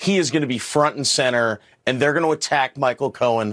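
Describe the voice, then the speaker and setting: A normal speaking voice belongs to this man, pitched in the middle range. His delivery moves fairly quickly, and his pitch varies in an ordinary way. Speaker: former litigator. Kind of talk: panel discussion.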